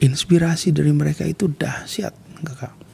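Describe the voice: This man's voice sits at a fairly high pitch, with a husky, rough edge, vocal fry and a slightly mellow tone. He talks at a moderate pace with fairly even intonation.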